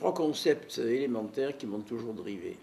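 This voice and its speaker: A man speaks in a dark, mellow tone. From Marseille, southern France. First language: Neapolitan (speaking French). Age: 80s+. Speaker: neuropsychiatrist. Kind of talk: life story interview.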